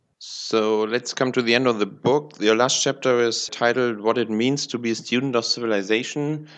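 A man with a plain, everyday voice speaks at a moderate pace and medium pitch, his loudness very even, his intonation fairly even, and hardly any pauses. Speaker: podcast host. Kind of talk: interview.

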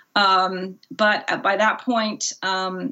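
A woman with an American accent speaks at a medium pitch, her voice showing vocal fry. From Germany, moved to US at six. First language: German. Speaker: author. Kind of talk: interview. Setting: remote call. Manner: halting, many fillers.

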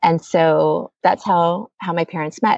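Speaking at a very slow pace, a woman has an American accent. Her pitch is fairly low. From Oregon, US. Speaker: community organizer, daughter of a volunteer. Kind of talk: interview storytelling. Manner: halting, many fillers.

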